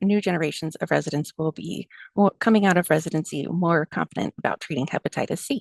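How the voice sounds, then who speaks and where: Against a quiet background, a woman speaks with a fairly low pitch. Her pitch varies in an ordinary way, and the sound is dry and close with no echo. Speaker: family medicine doctor. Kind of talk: lecture.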